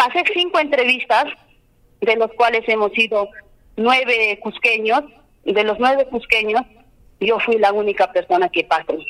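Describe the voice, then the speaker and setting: A woman speaks at a fairly slow pace and a fairly high pitch, with lively intonation and very even loudness. Her pauses are long and frequent, and there is noticeable background noise. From Peru, Cusco region (Limatambo). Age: 30s. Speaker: candidate for justice of the peace. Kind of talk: campaign interview.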